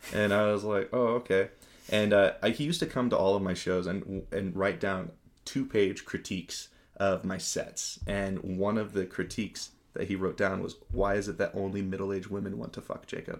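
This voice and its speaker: A man with an American accent speaks at a moderate pace and fairly low pitch with fairly even intonation, in a plain, everyday voice. The recording is very clean, with a silent background. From Spokane, Washington. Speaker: musician. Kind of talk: casual chat.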